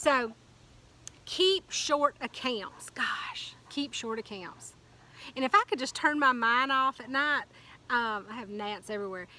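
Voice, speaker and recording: A woman with a high pitch and a bright, sharp tone sounds animated, using lively intonation and big swings in loudness at a fairly slow pace. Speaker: motivational speaker. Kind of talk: motivational talk. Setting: outdoors.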